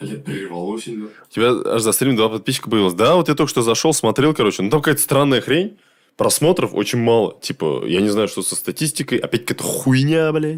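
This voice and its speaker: On a very clean recording with a silent background, a man of medium pitch talks at a fairly quick pace with lively intonation. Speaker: gaming streamer. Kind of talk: casual gameplay stream commentary. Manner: loud; casual, swearing, halting with fillers.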